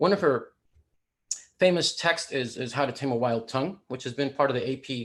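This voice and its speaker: A man talks at a fairly quick pace with an American accent. His pitch is medium, with ordinary variation. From Deep South Texas (Rio Grande Valley). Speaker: poet and speaker on language. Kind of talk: lecture. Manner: animated.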